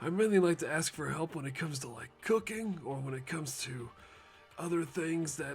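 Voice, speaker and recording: Clear background noise sits behind a man doing a put-on character voice, raspy and fairly high in pitch. He keeps a moderate pace with ordinary pitch variation. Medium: solo performance. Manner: rambling, casual, slangy.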